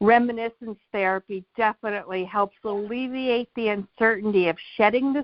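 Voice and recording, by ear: A quiet background sits behind someone reading aloud in a natural voice.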